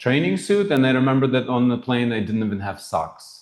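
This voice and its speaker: This man talks with a slight non-native accent. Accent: slight foreign. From former Soviet Union. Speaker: financial planner and humanitarian founder. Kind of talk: interview.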